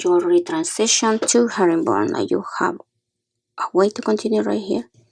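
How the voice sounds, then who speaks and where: This woman is soft-spoken. She talks at a moderate pace. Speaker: beading tutorial maker. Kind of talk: tutorial.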